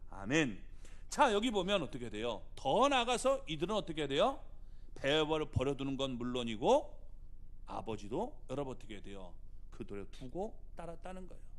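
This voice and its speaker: A man with a fairly high pitch and vocal fry talks at a moderate pace, his pitch swinging very widely and his loudness shifting a lot, with audible room echo. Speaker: pastor. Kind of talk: sermon.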